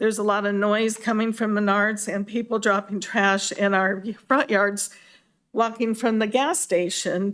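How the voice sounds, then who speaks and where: On a very clean recording with a silent background, a woman with a Midwestern American accent speaks at a moderate pace in a fairly high pitch with monotone, flat intonation. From US Midwest, Des Moines, Iowa. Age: 70s. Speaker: resident, public commenter. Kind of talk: public comment at a hearing.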